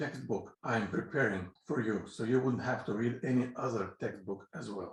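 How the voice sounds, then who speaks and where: A man's somewhat breathy, medium-pitched voice in a Russian accent at a moderate pace. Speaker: physics teacher. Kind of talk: lecture. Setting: pre-recorded lecture. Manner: halting.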